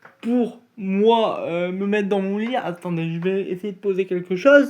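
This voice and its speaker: This man's voice is high in pitch, with ordinary pitch variation, and he speaks at a very slow pace. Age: 20s. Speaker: YouTuber, wheelchair user. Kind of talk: casual vlog. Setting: at home, bedroom. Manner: casual, hesitant.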